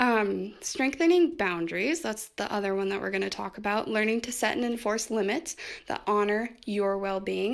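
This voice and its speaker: A woman speaks at medium pitch with hardly any pauses. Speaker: self-help video creator. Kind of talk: casual personal talk on healing. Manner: fast.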